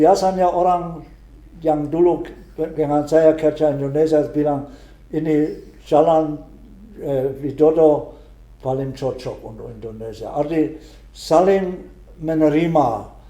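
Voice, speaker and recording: A man with a German accent speaks very slowly, with long, frequent pauses and audible room echo. His pitch is fairly high, his intonation fairly even, and his loudness swings widely. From Germany. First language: German (speaking Indonesian). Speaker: retired missionary priest. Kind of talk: interview. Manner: halting, with frequent hesitations and restarts.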